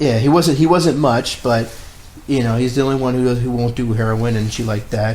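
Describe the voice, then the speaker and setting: A man is heard with audible room echo. Noticeable background noise is present. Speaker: film podcast co-host. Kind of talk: casual chat. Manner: fast.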